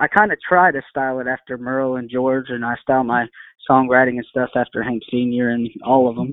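A man with an American accent talks at a fairly quick pace with fairly even intonation. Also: medium pitch for a man. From Texas, East Bernard. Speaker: country singer-songwriter. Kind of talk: interview. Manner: hesitant, many fillers.

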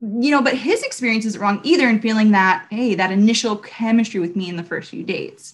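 This woman speaks fairly quickly with an American accent, hardly pausing at all. Her voice is fairly high-pitched and somewhat breathy, with ordinary pitch variation. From Southern California, Long Beach. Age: 30s. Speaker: women's ministry leader and recruiter. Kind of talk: casual interview devotional.

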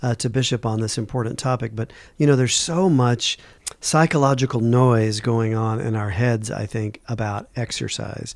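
A plain, everyday voice speaks at a moderate pace. The pitch variation is ordinary. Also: man. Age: 50s. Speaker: physician radio co-host. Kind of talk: radio interview.

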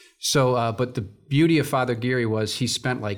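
On a very clean recording with a silent background, a somewhat breathy man speaks at a moderate pace with fairly even intonation. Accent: American. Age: 60s. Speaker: church stewardship director. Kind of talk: testimony. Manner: halting, with frequent fillers and repetitions.

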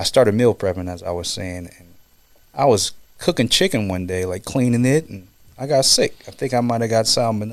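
A man with an American accent and a plain, everyday voice speaks at medium pitch and a fairly quick pace. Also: lively intonation. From Kansas. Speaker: former football player and fitness trainer. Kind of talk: casual chat.

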